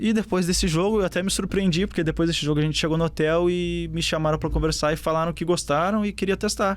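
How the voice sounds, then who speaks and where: The man talks very fast with a southern Brazilian accent. His loudness stays very even. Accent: gaúcho (southern Brazilian). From southern Brazil, Porto Alegre. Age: 20s. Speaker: professional footballer. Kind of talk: interview.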